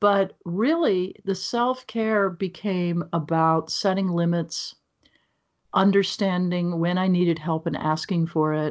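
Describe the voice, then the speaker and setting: A woman's plain, everyday voice with an American accent, medium in pitch, at a fairly slow pace with ordinary pitch variation. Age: 60s. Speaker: author and speaker. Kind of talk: interview conversation.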